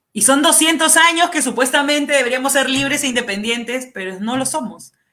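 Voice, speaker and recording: Bright and sharp in tone, a woman's high voice moves at a fairly quick pace. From Peru, central Lima. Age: 30s. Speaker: congressional candidate. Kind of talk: political interview. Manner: passionate, animated.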